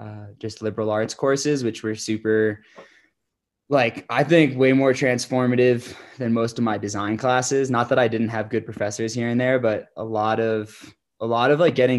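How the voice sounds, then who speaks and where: A man with an American accent has a plain, everyday voice and medium pitch. He speaks at a moderate pace with fairly even intonation over a quiet background. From New York State, Hudson Valley. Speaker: entrepreneur and skier. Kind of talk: interview. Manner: casual, many fillers.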